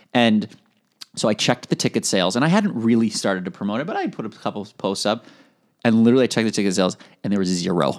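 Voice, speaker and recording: In an American accent, a man rattles along very fast, his voice fairly low with ordinary pitch movement. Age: 20s. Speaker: entrepreneur, founder of a positivity media company. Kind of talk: interview. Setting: studio. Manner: upbeat.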